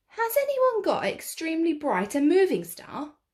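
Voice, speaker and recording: Putting on a character voice, a woman squeaks at an extremely high pitch with very wide pitch swings, keeping a moderate pace. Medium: read story.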